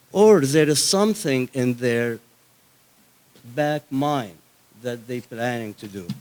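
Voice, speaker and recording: A man with an Egyptian accent speaks at a very slow pace with lively intonation, big swings in loudness, and long, frequent pauses. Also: medium pitch for a man. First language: Arabic. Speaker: Coptic activist. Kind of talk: conference speech.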